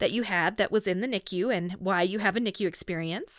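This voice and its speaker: Here a woman speaks in a normal speaking voice. Her intonation is lively. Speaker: podcast host. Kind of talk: casual interview.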